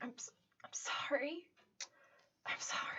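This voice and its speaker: A female-sounding put-on character voice whispers at a moderate pace. It is breathy and wheezy. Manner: apologetic, pleading.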